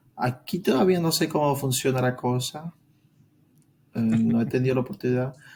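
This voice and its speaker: A man's somewhat breathy voice at a moderate pace, very even in loudness, with ordinary pitch variation and long, frequent pauses. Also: medium pitch for a man. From Venezuela. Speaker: engineer. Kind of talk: interview answer.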